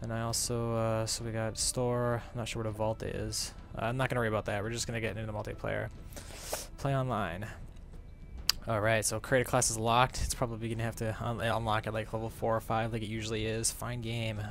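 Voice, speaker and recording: Talking at a very fast pace, a man keeps a medium pitch. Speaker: gaming YouTuber. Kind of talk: live gameplay commentary. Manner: animated.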